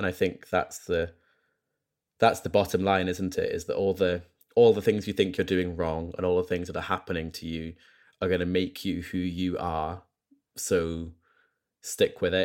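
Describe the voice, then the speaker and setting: A man speaks with a very deep, low voice at a moderate pace. His intonation is flat and monotone, broken by long, frequent pauses. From Scotland. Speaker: guest. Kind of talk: casual interview chat. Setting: video call.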